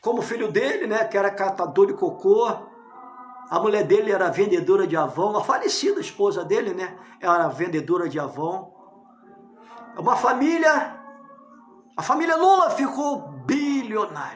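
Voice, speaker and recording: Over music in the background and audible room echo, a man talks at a moderate pace in a high pitch with very wide pitch swings and long, frequent pauses. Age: 60s. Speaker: pastor. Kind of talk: political sermon monologue. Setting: at home, living room.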